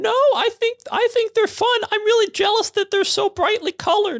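Someone is doing a put-on character voice. It is pitched extremely high and moves at a moderate pace.

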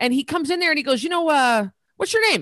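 The speaker has an American accent and very wide pitch swings. The sound is dry and close with no echo, over a quiet background. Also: woman. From US, northern Idaho. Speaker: fitness entrepreneur and former boxer. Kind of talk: interview.

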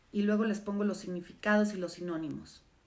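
A woman speaks at a medium pitch in an animated tone with ordinary pitch variation. Noticeable background noise and audible room echo surround her voice. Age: 50s. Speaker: live stream host, former therapist. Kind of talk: casual live stream monologue. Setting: social media live stream.

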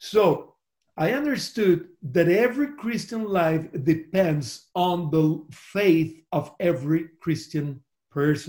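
The pace is very slow. The intonation is lively. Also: man, high pitch for a man. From Costa Rica. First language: Spanish. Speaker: pastor. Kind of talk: interview. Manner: halting.

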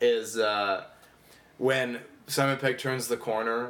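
With an American accent, a man with a plain, everyday voice speaks at a medium pitch with fairly even intonation. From US Midwest. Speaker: stand-up comedian. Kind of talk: casual chat.

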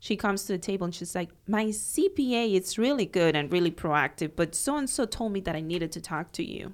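A woman with a Cuban accent, medium pitch, lively intonation and a fairly quick pace, on a very clean recording with a silent background. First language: Spanish. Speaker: accountant. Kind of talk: casual chat.

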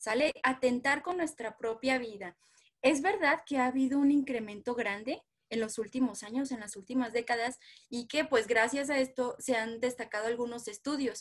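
A woman's high-pitched voice at a moderate pace with ordinary pitch variation. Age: 20s. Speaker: psychologist. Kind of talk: interview.

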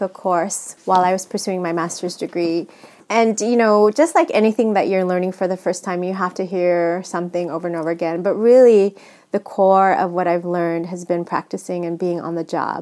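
A woman's dark, mellow voice at medium pitch, with ordinary pitch variation and a fairly quick pace, on a very clean recording with a silent background. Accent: American. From US West Coast, San Francisco. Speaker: nonprofit executive director. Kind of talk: interview.

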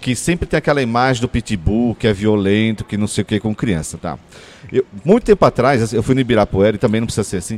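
The pace is very fast. The sound is dry and close with no echo. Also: man, medium pitch for a man, ordinary pitch variation. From São Paulo, Brazil (Ipiranga). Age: 40s. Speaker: podcast co-host. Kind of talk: casual chat.

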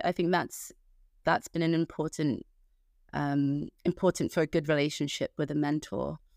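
In a plain, everyday voice, the speaker goes at a fairly slow pace in a dry, close sound with no echo. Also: woman. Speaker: medical doctor. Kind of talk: panel discussion. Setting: video call.

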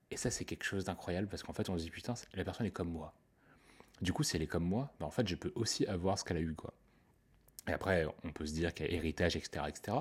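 A man with a very deep, low pitch speaks at a very fast pace, sounding somewhat breathy. His pitch variation is ordinary, and he takes long, frequent pauses. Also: very clean recording, silent background. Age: 20s. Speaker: podcaster. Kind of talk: casual monologue. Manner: halting.

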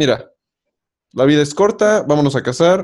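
A man speaks in a plain, everyday voice at a moderate pace, with ordinary pitch variation. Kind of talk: casual chat.

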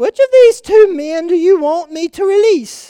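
A woman uses a squeaky, put-on character voice at an extremely high pitch. She speaks at a moderate pace with lively intonation. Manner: different voice from his own.

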